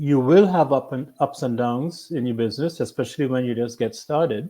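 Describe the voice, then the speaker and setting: Dark, mellow in tone, the voice moves at a moderate pace with ordinary pitch variation. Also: man. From Trinidad and Tobago. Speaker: business owner. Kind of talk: interview.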